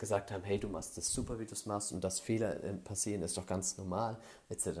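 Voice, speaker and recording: A dark, mellow male voice, its intonation fairly even. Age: 20s. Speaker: podcaster sharing personal story. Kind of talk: personal monologue. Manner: hesitant, many filler sounds.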